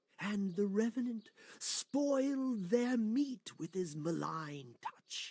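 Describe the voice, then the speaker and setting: A man's put-on character voice, high-pitched and at a very slow pace. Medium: video game. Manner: grandiose, storyteller cadence.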